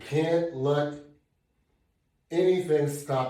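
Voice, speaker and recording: This man's voice is somewhat breathy with a dark, mellow tone and ordinary pitch variation, and audible room echo surrounds it. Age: 70s. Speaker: fitness instructor. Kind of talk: workout tutorial. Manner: conversational, encouraging.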